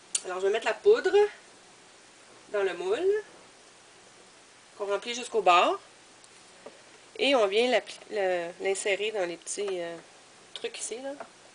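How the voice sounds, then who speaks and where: With long, frequent pauses, a woman with a Quebec accent speaks at a fairly slow pace with ordinary pitch variation. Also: medium pitch for a woman. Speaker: crafter, video blogger. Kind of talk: tutorial. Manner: hesitant, many fillers.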